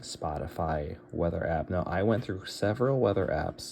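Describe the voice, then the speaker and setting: A man speaks at a moderate pace with very deep, low pitch and vocal fry. His tone is dark and mellow, and his intonation is lively. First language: Bulgarian. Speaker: tech tutorial youtuber. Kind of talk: tutorial. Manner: casual, thinking aloud with fillers.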